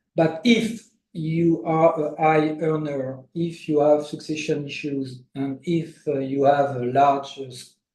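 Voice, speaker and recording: Speaking at a very slow pace with hardly any pauses, a man with a French accent uses a fairly high pitch and fairly even intonation. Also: big swings in loudness. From France. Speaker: international tax lawyer. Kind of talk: interview. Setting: livestream. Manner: halting, many fillers.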